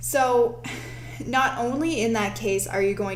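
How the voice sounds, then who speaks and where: Over noticeable background noise, a woman speaks at a fairly slow pace. The room echo is audible. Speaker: show host. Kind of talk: live-streamed tutorial.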